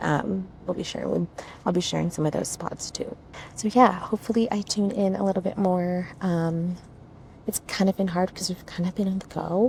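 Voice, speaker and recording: Soft-spoken and at a medium pitch, a woman talks at a moderate pace with fairly even intonation. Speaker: travel vlogger. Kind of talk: casual vlog chat. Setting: on a bus. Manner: quiet, speaking softly.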